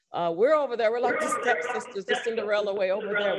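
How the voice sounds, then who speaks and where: Her pitch fairly high and her intonation lively, a woman speaks with a slight Southern US accent. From Texas. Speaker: public housing board member and activist. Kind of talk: speech at event.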